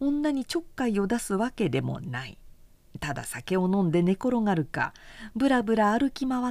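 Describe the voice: Lively intonation across plain reading aloud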